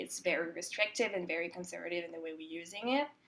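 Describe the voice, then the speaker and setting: A woman speaks in a Quebec accent at a fairly low pitch. Vocal fry runs through her voice. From Quebec, Montreal. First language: French. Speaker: composer. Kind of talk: interview. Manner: hesitant, many fillers.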